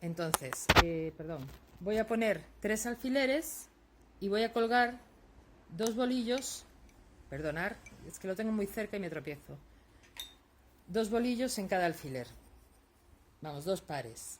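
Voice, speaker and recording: Soft-spoken and fairly slow, a woman talks with very wide pitch swings and long, frequent pauses. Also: medium pitch for a woman. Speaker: lace-making teacher. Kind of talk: tutorial. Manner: soft-spoken, tends to speak quietly; halting, many fillers.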